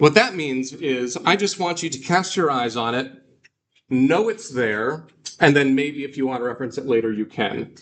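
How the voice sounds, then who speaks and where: A man's ordinary speaking voice, fairly high in pitch, with lively intonation at a moderate pace. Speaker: Greek teacher. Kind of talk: lecture.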